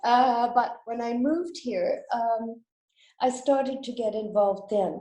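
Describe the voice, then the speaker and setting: In a room with audible echo, a woman speaks at a moderate pace with a fairly high pitch, a dark, mellow tone, and ordinary pitch variation. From western Canada, British Columbia. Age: 70s. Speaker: school director and fundraiser. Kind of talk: interview.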